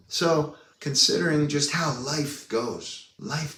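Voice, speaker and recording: Audible room echo and noticeable background noise surround a man talking in an American accent. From US, San Diego, California. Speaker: video blogger, personal growth speaker. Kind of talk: casual personal vlog monologue. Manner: animated.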